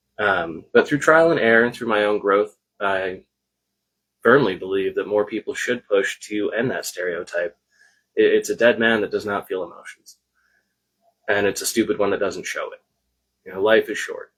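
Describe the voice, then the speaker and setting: A soft-spoken man talks with long, frequent pauses. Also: moderate pace. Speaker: co-host of a spiritual livestream. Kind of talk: casual live-stream chat. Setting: live video stream.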